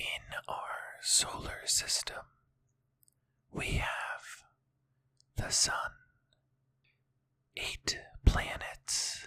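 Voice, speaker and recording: Someone whispers at a very slow pace. Long, frequent pauses break up the words. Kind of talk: ASMR whisper educational narration. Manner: whispered.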